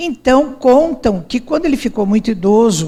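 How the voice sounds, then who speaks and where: The voice is dark and mellow, somewhat breathy, with lively intonation at a moderate pace. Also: woman. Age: 70s. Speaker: speaker. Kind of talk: lecture. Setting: stage with audience.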